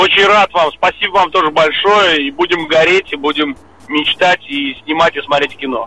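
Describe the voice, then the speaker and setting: A man speaks with a fairly high pitch and ordinary pitch variation. The sound is dry and close with no echo, and there is noticeable background noise. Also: moderate pace. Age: 30s. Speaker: film director and screenwriter. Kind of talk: interview.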